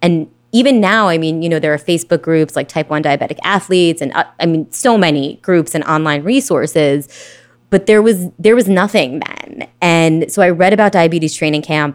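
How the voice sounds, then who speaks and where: A woman with an American accent and an ordinary speaking voice, fairly low in pitch, with ordinary pitch variation at a moderate pace. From New York, Brooklyn. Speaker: amateur cyclist with type 1 diabetes. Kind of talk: interview.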